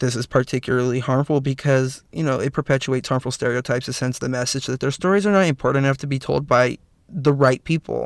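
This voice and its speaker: In a very clean recording with a silent background and a dry, close sound with no echo, a man speaks at a very fast pace and medium pitch with fairly even intonation. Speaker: podcast host. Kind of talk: solo podcast commentary. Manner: halting, with fillers and restarts.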